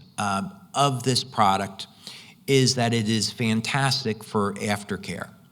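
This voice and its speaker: Audible room echo surrounds a man whose medium-pitched voice carries lively intonation. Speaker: conference presenter on light therapy product. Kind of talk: conference presentation.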